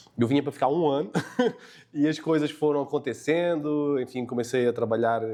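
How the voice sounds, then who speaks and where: A man speaks with a European Portuguese accent. His pace is moderate. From Portugal. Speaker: tech company co-founder. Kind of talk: podcast interview. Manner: hesitant, many fillers.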